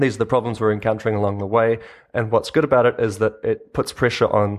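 Against a quiet background, a man with a New Zealand accent talks in a fairly low pitch and a monotone, flat intonation. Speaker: open source video maker and agency co-founder. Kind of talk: interview. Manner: halting, many fillers.

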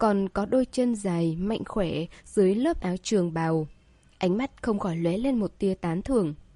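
An unforced reading voice carries the entire recording.

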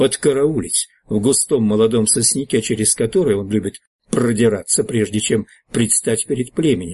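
The clip carries a natural reading voice against a quiet background.

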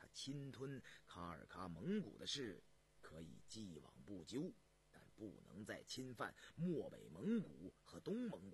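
Using a put-on character voice, a man speaks low with vocal fry, very wide pitch swings and a fairly slow pace.

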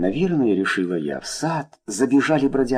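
Someone reads aloud here in a natural voice.

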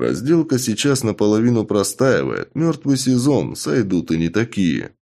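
The intonation is lively, delivered in an unforced reading voice.

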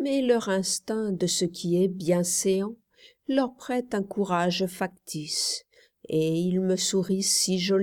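The pitch moves with ordinary variation here. It is reading aloud in a natural voice, set against a quiet background.

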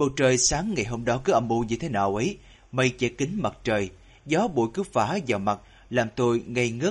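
Words are read aloud. A natural voice carries them.

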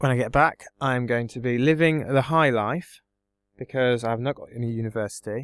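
A man speaks with an English accent, his loudness swinging widely. The sound is dry and close, with no echo. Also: medium pitch for a man, fairly even intonation, moderate pace. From England. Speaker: exchange student. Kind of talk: casual chat.

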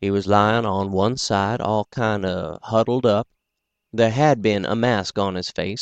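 Over a quiet background, someone reads aloud plainly, the intonation fairly even.

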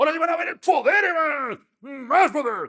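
A man shouting in a put-on character voice with an extremely high pitch at a moderate pace. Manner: shouting, mocking.

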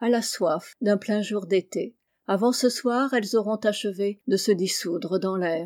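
An unforced reading voice with ordinary pitch variation over a quiet background

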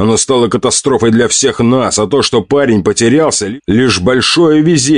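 An unforced reading voice, pitch varying in an ordinary way

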